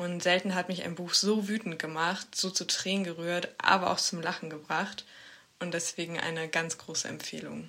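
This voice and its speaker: With monotone, flat intonation, a woman speaks at a moderate pace and a fairly low pitch. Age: 20s. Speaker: student, book recommender. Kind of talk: prerecorded scripted book presentation.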